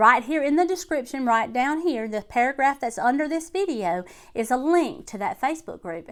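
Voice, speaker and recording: On a very clean recording with a silent background, a woman with an American accent speaks. Her pace is fairly quick and her intonation lively. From Alabama. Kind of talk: casual talk to camera.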